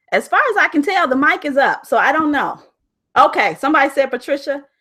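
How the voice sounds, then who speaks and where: A woman's high, raised and projected voice, very fast and animated, bright and sharp in tone, with lively intonation and very even loudness. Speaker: life coach hosting a live online challenge. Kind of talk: live stream chat with viewers. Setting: live video broadcast.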